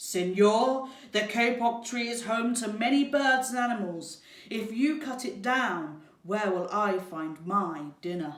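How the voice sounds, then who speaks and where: A woman puts on a growling character voice, fairly high in pitch with lively intonation. She goes at a fairly slow pace, with slight echo. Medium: read story.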